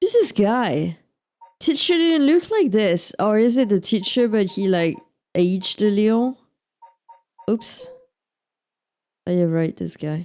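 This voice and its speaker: Over background music, a woman with a French accent speaks at a fairly slow pace, taking long, frequent pauses. Her fairly high pitch moves in very wide swings. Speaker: let's play streamer. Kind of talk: gameplay commentary. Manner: casual, reacting to game.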